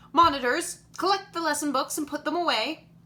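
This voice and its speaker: The female-sounding voice is a put-on character voice, high in pitch and delivered at a fairly quick pace. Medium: read story. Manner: brisk, commanding.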